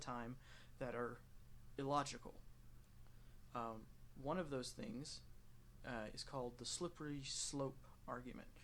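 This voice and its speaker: A man speaks with an American accent and long, frequent pauses. Room echo is audible. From United States. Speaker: gaming youtuber. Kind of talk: casual commentary while playing a game. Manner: rambling with many fillers and restarts.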